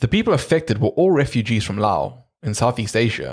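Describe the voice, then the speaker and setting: A man speaks in an ordinary speaking voice, medium in pitch, at a moderate pace. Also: very clean recording, silent background. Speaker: podcast co-host. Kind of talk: casual chat.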